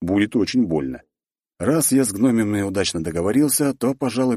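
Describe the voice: Plain reading aloud with lively intonation is heard over a quiet background.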